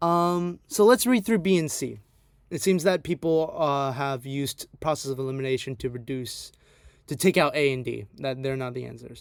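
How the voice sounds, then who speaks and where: With an unremarkable speaking voice, a man talks at a moderate pace and a fairly high pitch, with ordinary pitch variation. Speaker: AP history tutor. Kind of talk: online review lecture.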